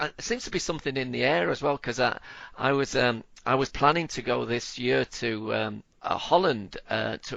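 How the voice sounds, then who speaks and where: The voice has vocal fry, ordinary pitch variation and a moderate pace. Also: man. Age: 50s. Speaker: podcast host. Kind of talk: interview. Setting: podcast interview. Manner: halting, many repetitions.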